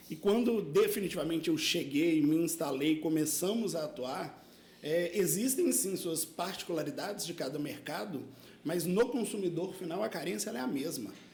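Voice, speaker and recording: In a Minas Gerais accent, a man with a high pitch speaks at a moderate pace with lively intonation, alongside audible room echo and noticeable background noise. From Minas Gerais, Brazil. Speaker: insurance broker. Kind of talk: casual chat.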